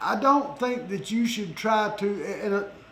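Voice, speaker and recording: Amid audible room echo, a man with an American accent speaks in a high pitch. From Florida. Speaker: podcast host. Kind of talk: interview. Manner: animated.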